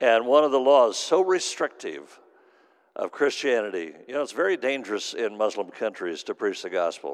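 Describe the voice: With big pitch swings at a moderate pace, a man speaks at a fairly low pitch.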